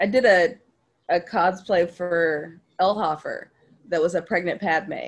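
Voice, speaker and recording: The speaker has a plain, everyday voice. The pace is fairly slow, with ordinary pitch variation. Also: woman, fairly low pitch for a woman. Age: 30s. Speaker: actor and show host. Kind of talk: casual chat.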